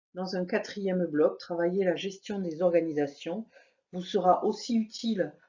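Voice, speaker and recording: A woman speaks at a moderate pace with a Toulouse accent. Her pitch sits in the middle range. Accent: southern French (Toulouse). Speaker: university lecturer. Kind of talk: program presentation. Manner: formal.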